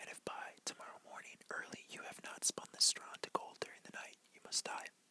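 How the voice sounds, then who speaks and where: A man speaks in a whisper. Noticeable background noise runs behind him. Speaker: ASMR creator. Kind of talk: bedtime fairy tale reading. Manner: whispered.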